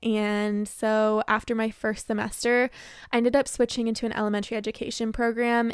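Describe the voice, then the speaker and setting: On a very clean recording with a silent background, a woman with an unremarkable speaking voice talks at a fairly quick pace, the sound dry and close with no echo. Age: 20s. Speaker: kindergarten teacher and podcast host. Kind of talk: casual monologue.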